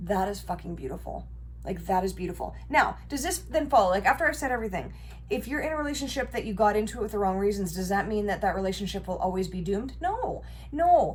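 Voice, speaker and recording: In a room with audible echo, a woman talks at a very fast pace. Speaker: tarot reader. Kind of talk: tarot reading monologue. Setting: home bedroom recording. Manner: casual, conversational.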